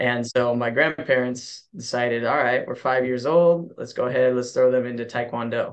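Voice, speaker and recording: A man with an American accent has a normal speaking voice at a medium pitch. He keeps a moderate pace and fairly even intonation. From US West, Kerman, California. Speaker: martial arts coach. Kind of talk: casual chat.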